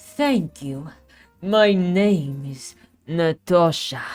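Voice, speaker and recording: A put-on character voice at middle pitch, very slow, with faint music in the background. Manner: soft.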